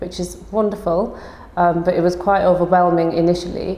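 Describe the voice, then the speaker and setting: A woman talks at a fairly quick pace with a fairly low pitch. Her intonation is monotone and flat, with noticeable background noise. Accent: Yorkshire. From northern England, Huddersfield, Yorkshire. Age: 20s. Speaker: osteopath and business owner. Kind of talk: personal testimony interview.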